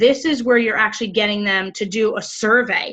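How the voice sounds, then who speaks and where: A woman's fairly high voice, animated in tone. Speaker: sales team leader. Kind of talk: training call. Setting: video call.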